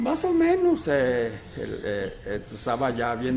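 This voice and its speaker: Music plays in the background as a man with a medium pitch speaks amid audible room echo. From Teocaltiche, Jalisco, Mexico. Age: 70s. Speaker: retired teacher and school director. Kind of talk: interview. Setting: restaurant.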